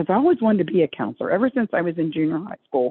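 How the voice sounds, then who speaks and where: Spoken at a very fast pace in an American accent, the voice has lively intonation. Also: woman. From Maryland, Dundalk (Baltimore area). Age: 70s. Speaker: recovering addict and addiction counselor. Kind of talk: testimony. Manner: rambling, halting.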